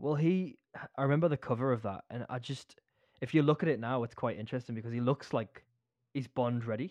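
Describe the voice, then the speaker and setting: In a Geordie accent, a man speaks at a fairly quick pace and medium pitch with ordinary pitch variation, in a dry, close sound with no echo. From Newcastle upon Tyne, northern England. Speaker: podcast co-host. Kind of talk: casual chat.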